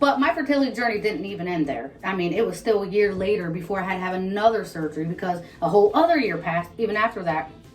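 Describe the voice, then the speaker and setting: A woman with an American accent at a medium pitch, very fast pace and lively intonation, over noticeable background noise. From Ohio, US. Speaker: vlogger. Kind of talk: casual chat.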